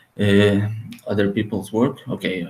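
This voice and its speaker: A man's fairly low voice in a Portuguese accent, with fairly even intonation. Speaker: author and translator. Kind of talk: podcast interview. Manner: halting, with many repetitions and fillers.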